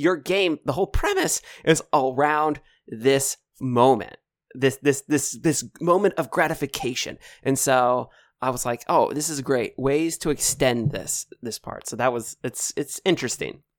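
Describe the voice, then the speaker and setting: In a very clean recording with a silent background and a dry, close sound with no echo, a man talks in an unremarkable speaking voice. His pitch is fairly high with ordinary variation, at a moderate pace. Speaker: podcast host. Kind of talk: casual interview chat.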